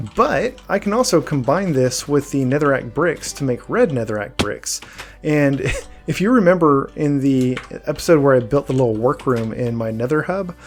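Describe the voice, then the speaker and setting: Music plays in the background as a man speaks at a moderate pace. His pitch is fairly high and his intonation lively. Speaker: gaming youtuber. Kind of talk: let's play commentary. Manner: halting.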